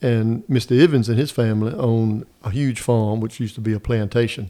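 A man at a moderate pace, medium in pitch, with a dark, mellow tone and an American accent. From northeastern North Carolina. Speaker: state legislator. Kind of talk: casual interview. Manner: folksy storyteller.

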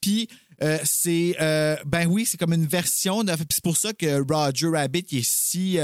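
In a Quebec accent, a man speaks very slowly at a high pitch. The sound is dry and close, with no echo. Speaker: podcast co-host. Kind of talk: casual chat. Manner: animated.

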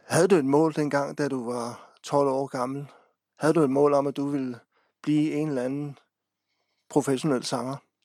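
Very clean with a silent background, the recording has a man speaking fairly slowly with long, frequent pauses in a fairly high, dark, mellow voice and a flat, monotone delivery. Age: 40s. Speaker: local radio host. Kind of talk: interview.

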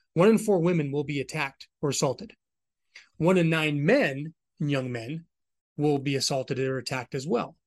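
A man with an American accent and a fairly high pitch, a normal speaking voice, lively intonation and a moderate pace, over a quiet background. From Southern California, Orange County. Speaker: army veteran. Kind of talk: interview.

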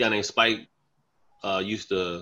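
With an American accent, a man talks at a moderate pace in a bright, sharp tone and fairly even intonation. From North Carolina, Charlotte. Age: 40s. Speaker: comedian. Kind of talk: casual chat.

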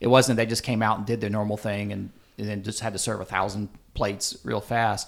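In a very clean recording with a silent background, a man with an American accent uses a fairly low pitch, fairly even intonation and vocal fry at a fairly quick pace. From US South, upstate South Carolina. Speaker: barbecue writer and culinary historian. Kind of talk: casual interview. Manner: halting.

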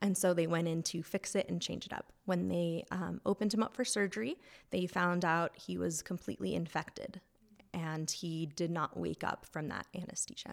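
With an American accent, a woman uses a normal speaking voice at a fairly low pitch, moderate pace, and ordinary pitch variation. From Reno, Nevada, US. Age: 20s. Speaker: church member sharing personal story. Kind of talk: testimony.

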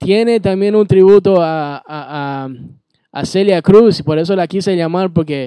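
Recorded dry and close with no echo over a quiet background, a man speaks at a high pitch with a dark, mellow tone and ordinary pitch variation. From Bolivia. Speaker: radio DJ. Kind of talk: radio show hosting with interview.

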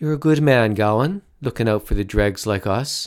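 Using a put-on character voice, a man mumbles at a moderate pace with a medium pitch and lively intonation on a very clean recording with a silent background. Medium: read story. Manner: mumbling, doddering.

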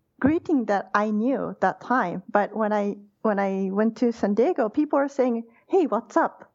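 Delivered at a fairly slow pace, the speech has lively intonation and a Japanese accent. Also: woman, very even loudness. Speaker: university lecturer. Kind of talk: interview.

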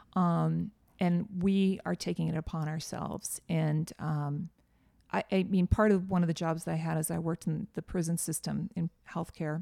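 A woman with an American accent speaks in a dark, mellow tone at a fairly low pitch, keeping a flat monotone at a moderate pace. The recording is very clean, with a silent background. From US Northeast. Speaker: entrepreneur and podcast host. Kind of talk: casual interview chat.

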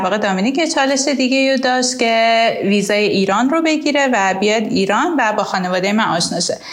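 In a room with audible echo and noticeable background noise, a woman talks at a very fast pace with a fairly high pitch and ordinary pitch variation. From Iran. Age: 20s. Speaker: accountant and immigrant. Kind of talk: personal testimony and advice monologue.

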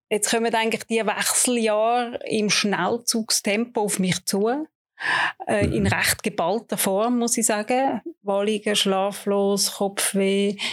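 A woman talks at a very slow pace. Her medium-pitched voice keeps a fairly even intonation. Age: 50s. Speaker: breast cancer patient. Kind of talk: interview. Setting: studio.

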